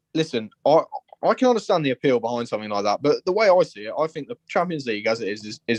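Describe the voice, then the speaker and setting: At a very fast pace, a man speaks with lively intonation in a dry, close sound with no echo. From Liverpool, England. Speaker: football fan caller. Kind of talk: phone-in opinion. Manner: passionate.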